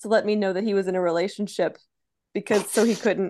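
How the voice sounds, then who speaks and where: Over a quiet background, a woman in an unremarkable speaking voice talks at medium pitch and a fairly quick pace, her intonation fairly even. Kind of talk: casual chat.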